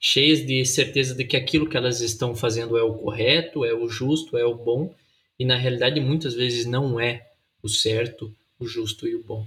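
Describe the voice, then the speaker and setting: At a moderate pace, a man talks in an ordinary speaking voice of medium pitch with fairly even intonation. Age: 20s. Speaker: pastor and podcast co-host. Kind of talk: casual chat.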